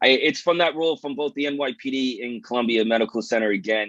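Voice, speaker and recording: In a New York accent, a man talks at a fairly quick pace with ordinary pitch variation, recorded dry and close with no echo. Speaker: police detective and research scientist, event moderator. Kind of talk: event opening remarks.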